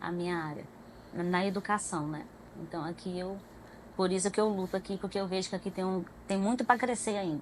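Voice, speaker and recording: The woman talks at a medium pitch and a fairly quick pace, with fairly even intonation. Her long, frequent pauses stand out on a very clean recording with a silent background. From Goiânia, Goiás, Brazil. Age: 30s. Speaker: pedagogue, church member guest. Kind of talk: testimony interview.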